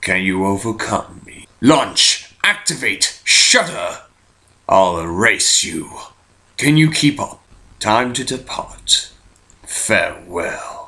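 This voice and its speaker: This man's voice sits at a medium pitch. He talks at a very slow pace, with big swings in loudness. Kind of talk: villain voice acting. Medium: fan dub. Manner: calm, measured, solemn.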